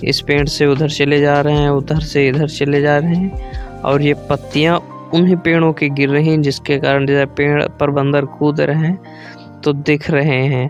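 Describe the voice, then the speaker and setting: A man speaks in a monotone, flat intonation at a fairly high pitch, with very even loudness and hardly any pauses. Music plays in the background. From Sitapur, Uttar Pradesh. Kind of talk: casual vlog narration to camera.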